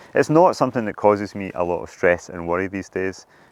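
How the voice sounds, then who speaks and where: Delivered at a very fast pace in a Scottish accent, the speech has ordinary pitch variation. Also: man. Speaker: professional climber. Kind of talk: monologue to camera.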